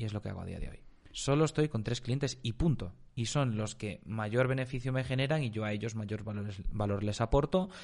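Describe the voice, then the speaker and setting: Against a quiet background, a man with medium pitch and ordinary pitch variation talks at a moderate pace in an unremarkable speaking voice. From Spain. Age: 20s. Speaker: marketing agency entrepreneur. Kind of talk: casual interview chat.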